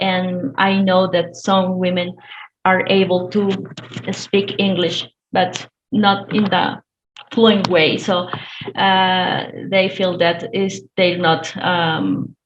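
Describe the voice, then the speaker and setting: A very slow, monotone delivery with a Spanish accent, very even loudness and long, frequent pauses. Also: woman, medium pitch for a woman. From Colombia. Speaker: domestic violence counsellor. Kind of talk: webinar discussion. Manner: halting, many fillers.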